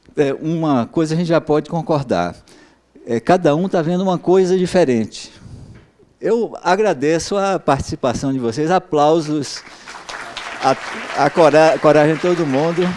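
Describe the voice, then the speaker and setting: A man with a fairly high pitch speaks at a fairly slow pace, with ordinary pitch variation and long, frequent pauses. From Brazil, Bahia. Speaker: professor. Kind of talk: lecture. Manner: halting, many filler sounds.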